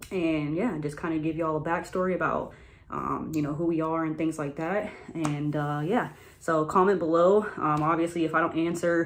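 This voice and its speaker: Speaking at a moderate pace in an American accent, a woman uses a fairly low pitch and fairly even intonation. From US South, Florida (Tampa area). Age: 20s. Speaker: YouTuber. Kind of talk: casual storytelling vlog. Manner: hesitant, many filler ums.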